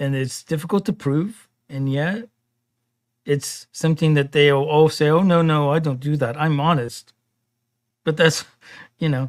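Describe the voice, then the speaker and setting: A man with a fairly high voice speaks at a moderate pace with ordinary pitch variation and long, frequent pauses, recorded very cleanly against a silent background. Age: 50s. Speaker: podcast producer and co-host. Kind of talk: casual chat.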